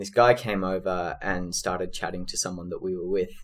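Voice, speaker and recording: The man's voice sits fairly low. He has an Australian accent. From Australia, Sydney. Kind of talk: interview.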